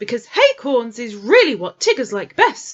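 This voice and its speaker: In a put-on character voice, a woman speaks with a high pitch, a confident tone and a moderate pace. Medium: read story. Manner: bouncy, confident.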